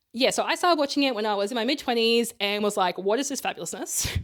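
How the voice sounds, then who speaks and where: A woman with an Australian accent, fairly high-pitched, talking very fast with lively intonation. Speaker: podcast co-host. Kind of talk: casual chat. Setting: co-host's bedroom.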